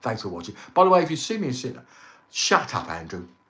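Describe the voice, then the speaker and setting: The man's pitch rises and falls very widely, with room echo audible around him. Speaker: travel vlogger. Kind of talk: live stream chat. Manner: halting, many fillers.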